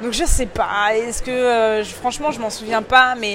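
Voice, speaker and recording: A woman speaks at a fairly quick pace amid crowd noise in the background. Audible room echo surrounds her voice. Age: 20s. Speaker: fashion influencer. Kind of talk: casual interview. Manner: animated; hesitant with many fillers.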